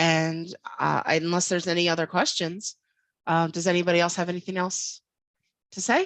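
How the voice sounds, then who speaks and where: A woman with an American accent speaks at a moderate pace with a fairly low pitch and fairly even intonation, leaving long, frequent pauses. The sound is dry and close, with no echo. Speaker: infosec professional, guest speaker. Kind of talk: online talk to students. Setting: video call. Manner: casual, many fillers.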